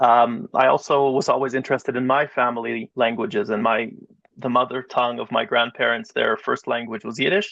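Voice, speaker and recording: With an ordinary speaking voice, a man talks at a fairly quick pace, his medium pitch showing ordinary variation. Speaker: rabbi and educator. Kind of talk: interview.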